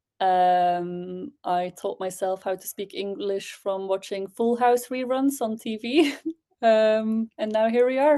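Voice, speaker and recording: Over a quiet background, a woman talks at a very slow pace with a fairly high pitch, a dark, mellow tone and ordinary pitch variation. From Belgium. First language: Dutch. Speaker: spoken word poet. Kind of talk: casual interview.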